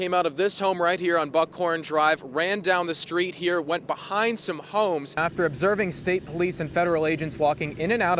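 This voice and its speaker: Over noticeable background noise, a man speaks at a high pitch and a fairly quick pace, with ordinary pitch variation, very even loudness and hardly any pauses. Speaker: TV news reporter. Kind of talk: TV news live shot and stand-up. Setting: outdoors on location.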